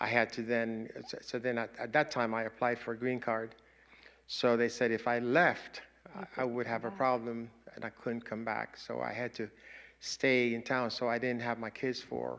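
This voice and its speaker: With a Spanish accent, a man speaks at a moderate pace and medium pitch, his intonation fairly even. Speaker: panelist sharing migration story. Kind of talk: personal testimony. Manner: halting.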